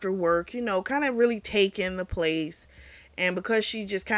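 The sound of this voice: In an unforced reading voice, the pitch rises and falls in an ordinary way.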